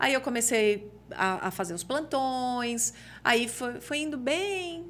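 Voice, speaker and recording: Her voice high, a woman speaks with very wide pitch swings. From Brazil, interior of São Paulo state. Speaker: TV journalist and reporter. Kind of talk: casual chat.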